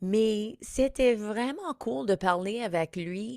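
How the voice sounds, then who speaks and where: The speaker has an English accent, and the recording is very clean with a silent background. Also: woman. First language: English (speaking French). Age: 50s. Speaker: comedian and podcast host. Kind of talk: podcast intro monologue. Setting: studio.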